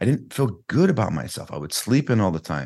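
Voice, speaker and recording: Against a quiet background, a man speaks at a fairly quick pace in a dark, mellow tone at a medium pitch. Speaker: fitness coach and author. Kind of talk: interview conversation. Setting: video call.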